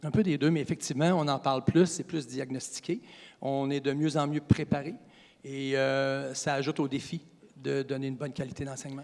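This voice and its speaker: A man with a plain, everyday voice speaks at a moderate pace, fairly high in pitch and fairly even in intonation. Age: 60s. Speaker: college physical education teacher. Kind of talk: interview.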